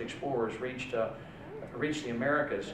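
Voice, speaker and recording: A man talks fairly briskly and with mostly level intonation while noticeable noise sits behind him. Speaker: politician addressing event. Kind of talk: speech. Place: hall. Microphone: podium.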